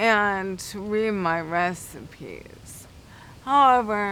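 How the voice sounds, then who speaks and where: A woman at a medium pitch with ordinary pitch variation and a bright, sharp tone, amid audible room echo. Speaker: guide dog applicant. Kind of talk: interview.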